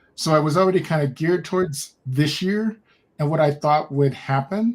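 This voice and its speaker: A man's fairly high pitch and ordinary pitch variation come through in a normal speaking voice as he goes at a moderate pace. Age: 60s. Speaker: podcast guest, human design practitioner. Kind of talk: casual conversation.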